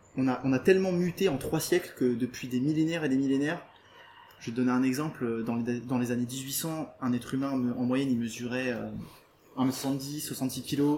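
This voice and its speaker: This man speaks at a medium pitch with fairly even intonation. His pace is moderate. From rural France, Portuguese farming family. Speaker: vegan nutritionist and trainer. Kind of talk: interview. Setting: house open to the jungle, in person.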